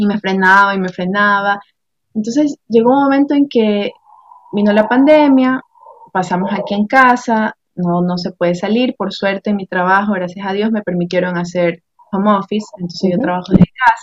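A woman speaks in a coastal Ecuadorian accent. Her pace is moderate. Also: medium pitch for a woman, ordinary pitch variation. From Ecuador, Guayaquil. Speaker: administrative assistant and entrepreneur. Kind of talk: interview. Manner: halting, many repetitions.

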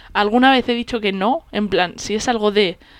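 Pitch rises and falls in an ordinary way. Delivery is neither fast nor slow. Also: woman. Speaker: podcast co-host. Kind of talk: casual chat. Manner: stumbles over words.

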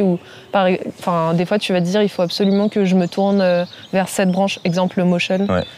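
At a moderate pace, a woman speaks in a monotone, flat way at medium pitch. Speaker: freelance graphic designer. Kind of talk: casual interview.

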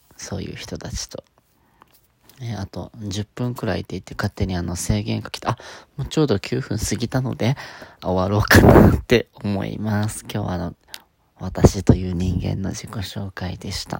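Heard dry and close with no echo, a man with a fairly low pitch speaks at a moderate pace, with ordinary pitch variation and big swings in loudness. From Okinawa, Japan. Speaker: podcaster. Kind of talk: solo monologue. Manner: halting.

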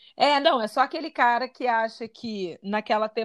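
Here is an unremarkable speaking voice: a woman with a fairly high pitch and ordinary pitch variation talks at a fairly slow pace, the sound dry and close with no echo over a quiet background. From Rio de Janeiro, Brazil (Santa Teresa). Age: 30s. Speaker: podcast co-host. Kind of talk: casual chat.

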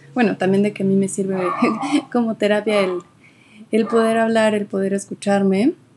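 There is noticeable background noise behind this woman. She speaks at a medium pitch. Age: 20s. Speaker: podcast host. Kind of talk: casual monologue. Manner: halting.

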